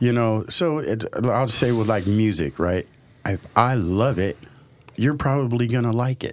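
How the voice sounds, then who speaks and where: A man with an American accent speaks in a plain, everyday voice at medium pitch. His pace is fairly slow, with ordinary pitch variation. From Portland, Oregon (Northeast Portland). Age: 50s. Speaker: restaurant owner and music producer. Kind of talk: casual interview chat. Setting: studio.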